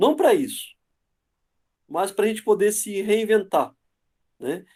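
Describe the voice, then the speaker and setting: A man with a Rio Grande do Sul accent, high pitch and a moderate pace. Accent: southern Brazilian (Dom Pedrito). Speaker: university professor, guest lecturer. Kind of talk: online lecture. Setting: video call webinar.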